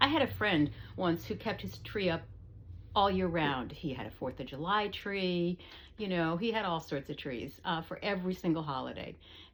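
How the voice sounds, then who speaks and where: Using vocal fry at a fairly low pitch, a woman speaks at a moderate pace with lively intonation. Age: 70s. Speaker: knitting vlogger. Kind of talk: casual vlog chat. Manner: hesitant, many fillers.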